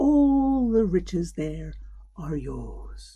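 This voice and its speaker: A woman whispers in a put-on character voice. She is soft-spoken. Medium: read story. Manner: soft, whispering.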